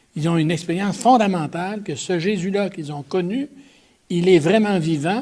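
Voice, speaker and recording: This man's voice is high-pitched. His pitch variation is ordinary. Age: 80s+. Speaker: theologian. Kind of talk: talk answering audience questions. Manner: halting, many repetitions.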